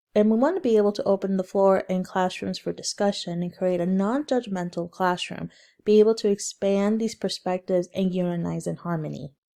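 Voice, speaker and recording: On a very clean recording with a silent background, a woman with a medium pitch and a dark, mellow tone talks at a fairly quick pace with hardly any pauses and fairly even intonation. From Central Texas, Mexican-American. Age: 20s. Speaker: student. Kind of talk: class presentation. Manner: scripted, reading from slides.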